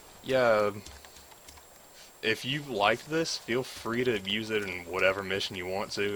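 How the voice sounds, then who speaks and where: Noticeable background noise runs behind a man speaking with a Southern US accent. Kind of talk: game mod walkthrough narration. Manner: casual, hesitant with fillers.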